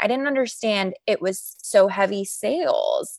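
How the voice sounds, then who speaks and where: A woman with a fairly high pitch speaks in an American accent. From Chicago northern suburbs, US. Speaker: talent agency founder. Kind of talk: interview.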